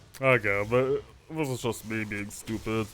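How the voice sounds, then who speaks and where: There is music in the background. A man talks over it at a fairly slow pace. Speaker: gaming video creator. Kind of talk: gameplay commentary. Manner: quiet at times.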